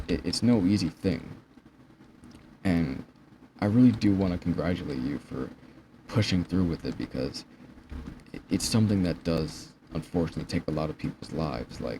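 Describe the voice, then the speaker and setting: A man's very deep, low voice with vocal fry and lively intonation, at a moderate pace broken by long, frequent pauses. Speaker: vlogger. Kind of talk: personal vlog monologue. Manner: stuttering, halting. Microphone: poor quality.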